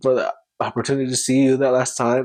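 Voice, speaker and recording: A man's medium-pitched, tearful voice, fairly quick and monotone with flat intonation. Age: 20s. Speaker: podcast host. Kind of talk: emotional personal reflection. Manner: emotional, tearful.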